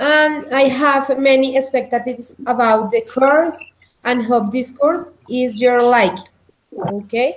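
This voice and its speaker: In a Spanish accent, a woman speaks at a very slow pace with a high pitch. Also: ordinary pitch variation. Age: 20s. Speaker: English teacher. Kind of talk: online language lesson. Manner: halting.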